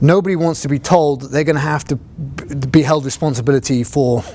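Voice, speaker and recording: A man with a British accent talks at a fairly quick pace in a dark, mellow tone. His intonation stays fairly even. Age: 40s. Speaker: fire captain and instructor. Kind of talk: lecture. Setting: classroom, video recorded.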